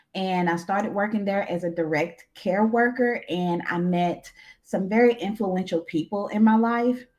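A woman speaks in a Southern US accent at a moderate pace. Her pitch is medium, with ordinary pitch variation. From Arkansas. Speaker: therapist and social worker. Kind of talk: interview.

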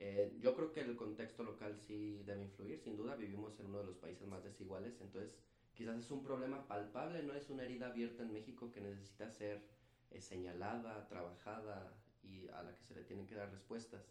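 Audible room echo surrounds a man speaking at a fairly quick pace with big swings in loudness. His pitch is fairly low, with ordinary variation. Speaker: physician and public health specialist. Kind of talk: casual interview.

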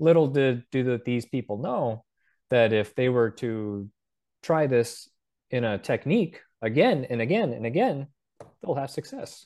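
A man's unremarkable speaking voice with an American accent, medium pitch, ordinary pitch variation and a fairly slow pace, over a quiet background. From North Dakota, US. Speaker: UFO researcher. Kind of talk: casual interview.

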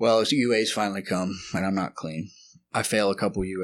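A man with a Texan accent speaks at a fairly quick pace. His pitch is very deep and low, and his intonation fairly even. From Texas, Lubbock. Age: 30s. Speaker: addict in recovery. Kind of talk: testimony. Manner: halting.

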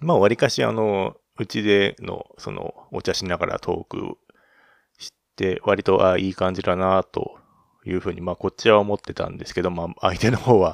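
Recorded very cleanly against a silent background, a man speaks at a moderate pace with big swings in loudness, the sound dry and close with no echo. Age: 30s. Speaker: podcast host. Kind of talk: casual monologue. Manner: halting, many fillers.

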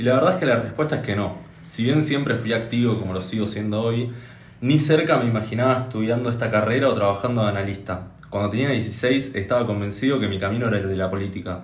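Amid audible room echo, a somewhat breathy man with a medium pitch talks at a very fast pace with ordinary pitch variation. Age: 20s. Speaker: podcast co-host. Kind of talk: casual chat.

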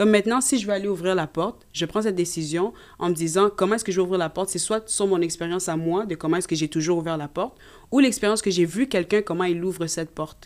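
A woman at medium pitch with a Canadian French accent, ordinary pitch variation and a very fast pace, on a very clean recording with a silent background. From Canada (Quebec), Congolese parents. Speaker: nursing student. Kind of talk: casual chat.

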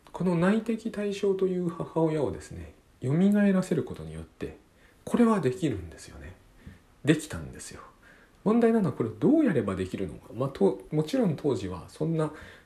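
The pace of this man's speech is moderate. There are big swings in his loudness. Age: 40s. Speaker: podcast host and author. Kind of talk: solo monologue podcast. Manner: halting, many fillers.

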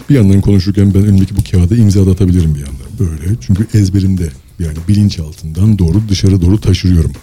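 A man talks at a very fast pace in a very deep, low voice, with ordinary pitch variation. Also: hardly any pauses. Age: 40s. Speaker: engineer and author. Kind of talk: casual interview. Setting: live broadcast.

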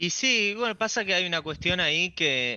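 His pitch swings very widely. The man talks at a moderate pace. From Argentina, Buenos Aires. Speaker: YouTube creator. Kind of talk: radio interview.

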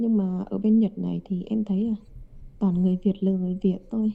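A somewhat breathy woman's voice with a dark, mellow tone, medium pitch and fairly even intonation at a fairly quick pace. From Hanoi, northern Vietnam. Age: 20s. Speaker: international student. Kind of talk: casual interview.

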